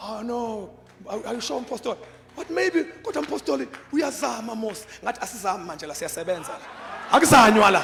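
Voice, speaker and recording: Against noticeable background noise, a man with a high pitch talks at a fairly quick pace, his pitch swinging very widely and his loudness shifting in big swings. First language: Zulu. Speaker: apostle preaching. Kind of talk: sermon. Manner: code-switching Zulu and English.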